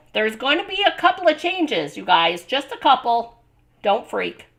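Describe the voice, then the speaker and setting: With very wide pitch swings, a woman talks at a moderate pace. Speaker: card-making craft host. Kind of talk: live craft stream sign-off. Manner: casual, chatty.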